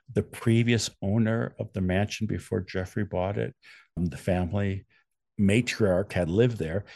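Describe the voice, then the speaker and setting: A man speaks with an American accent at a moderate pace. His fairly low pitch, dark, mellow tone and ordinary pitch variation come over a quiet background. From Wisconsin. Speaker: true crime author. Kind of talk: interview.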